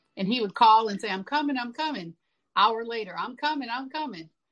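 At a moderate pace, a woman with a fairly high pitch and a slight country accent speaks with ordinary pitch variation. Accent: slight country twang. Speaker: singer-songwriter. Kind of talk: interview. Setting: remote call.

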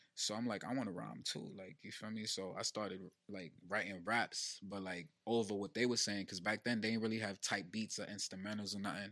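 With an American accent, a man speaks at a fairly quick pace with hardly any pauses, his fairly low-pitched voice bright and sharp in tone and fairly even in intonation. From New Jersey (Elizabeth). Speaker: hip-hop recording artist. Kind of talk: casual chat.

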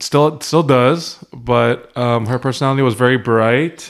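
With an unremarkable speaking voice, a man talks at a fairly slow pace and medium pitch, his intonation fairly even. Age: 30s. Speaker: podcast guest, husband. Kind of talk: casual chat.

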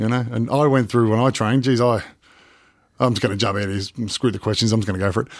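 In an Australian accent, a man speaks very fast at a medium pitch with fairly even intonation, on a very clean recording with a silent background. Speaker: professional wrestler. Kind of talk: casual interview.

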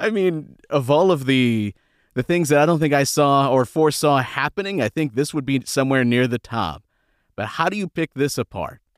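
A plain, everyday voice from a man, fairly high in pitch, with ordinary pitch variation at a moderate pace in a very clean recording with a silent background. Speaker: podcast host. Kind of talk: casual sports podcast chat.

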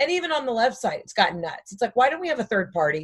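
Lively intonation from a woman, her voice somewhat breathy. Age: 30s. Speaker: comedian. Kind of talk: casual chat.

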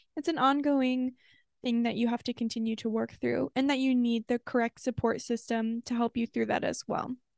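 A woman's high-pitched, animated voice at a moderate pace, very even in loudness, with a dry, close sound and no echo. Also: quiet background. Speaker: podcast co-host. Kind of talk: casual chat. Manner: animated, laughs often.

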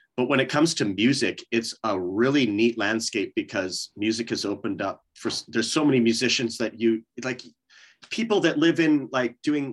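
A man with a Canadian accent at a moderate pace, against a quiet background. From Canada. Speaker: metal vocalist. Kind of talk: casual interview chat. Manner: halting, many fillers and restarts.

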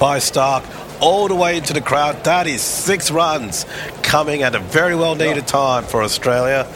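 A man at a fairly high pitch, moderate pace, noticeable background noise behind him. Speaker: cricket commentator. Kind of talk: live commentary.

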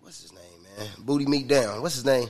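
A man is speaking. His pitch is fairly high, with ordinary variation. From Kansas, US Midwest. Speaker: rapper. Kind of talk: casual chat.

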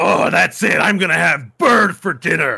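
A man uses a put-on character voice at a moderate pace. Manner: angry, snarling.

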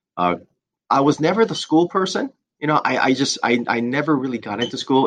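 This is a man with a plain, everyday voice and lively intonation. He talks at a fairly quick pace over a quiet background. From Southern California (born in Korea). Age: 40s. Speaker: insurance agency owner. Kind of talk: interview.

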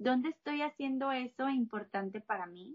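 A woman speaks at a fairly slow pace. Her pitch is high, with ordinary variation. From Mexico, Monterrey. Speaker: health coach and plant-based chef. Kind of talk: interview conversation.

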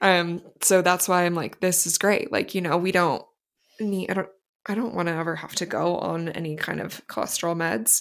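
A woman with a plain, everyday voice speaks at fairly low pitch with ordinary pitch variation. Her pace is moderate, and the recording is very clean with a silent background. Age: 30s. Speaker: podcast co-host, night shift worker. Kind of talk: casual chat.

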